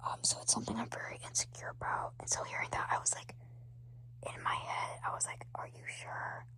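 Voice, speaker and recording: A man whispers. He goes at a fairly quick pace. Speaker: firefighter trainee, ASMR creator. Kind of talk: ASMR whispering talk to camera. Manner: whispered, soft-spoken.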